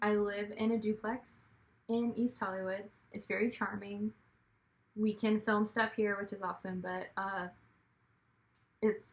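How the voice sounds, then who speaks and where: Her voice somewhat breathy, a woman with a medium pitch speaks at a fairly slow pace in a monotone, flat intonation with long, frequent pauses. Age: 30s. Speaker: actor, writer and director vlogger. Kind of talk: casual vlog monologue. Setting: at home.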